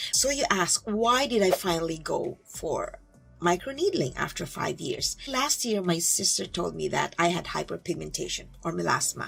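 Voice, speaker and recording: Moderately paced female speech over background music. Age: 60s. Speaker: beauty vlogger. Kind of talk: casual vlog talk.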